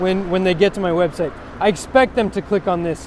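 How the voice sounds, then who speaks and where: A man speaks at a fairly quick pace in a Californian accent. Noticeable background noise runs under his voice. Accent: American (Californian). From US West Coast. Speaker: web developer. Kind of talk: tutorial. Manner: fast; halting, many fillers and restarts.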